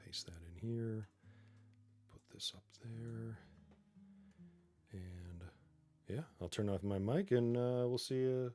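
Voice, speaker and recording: With music in the background, a man of medium pitch talks very slowly, with long, frequent pauses and ordinary pitch variation. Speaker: tech streamer, Salesforce developer. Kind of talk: live-streamed coding session. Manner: casual, halting with fillers.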